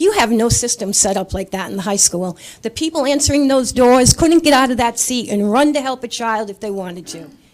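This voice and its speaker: A woman speaks at a fairly quick pace with a Rhode Island accent and a fairly high pitch. Her pitch varies in an ordinary way over noticeable background noise. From Rhode Island, Coventry. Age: 60s. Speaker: resident speaking at public comment. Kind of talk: public comment at council meeting.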